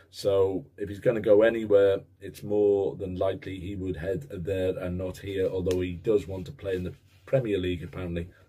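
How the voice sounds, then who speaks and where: A man's very deep, low, somewhat breathy voice with a dark, mellow tone, fairly even intonation, a moderate pace, and hardly any pauses. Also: big swings in loudness. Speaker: football vlogger. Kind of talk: casual vlog monologue. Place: home room. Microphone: webcam.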